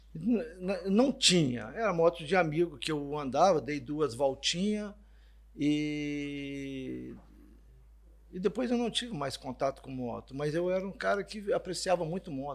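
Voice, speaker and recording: A man speaks at a fairly slow pace in a normal speaking voice, his pitch fairly high with lively intonation. The recording is very clean, with a silent background. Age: 60s. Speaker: motorcycle dealership sales director. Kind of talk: podcast interview. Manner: casual conversational.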